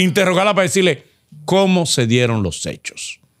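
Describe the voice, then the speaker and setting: A man's fairly quick delivery with vocal fry, very wide pitch swings, and a quiet background. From Dominican Republic. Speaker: co-host; podcast host. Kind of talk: interview. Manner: animated. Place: studio. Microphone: studio mic.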